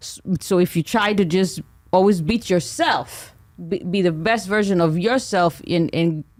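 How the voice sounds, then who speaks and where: The speaker has an Israeli accent and a fairly slow pace. Their intonation is lively. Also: woman. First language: Hebrew. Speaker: comedian. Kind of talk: podcast interview. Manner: halting.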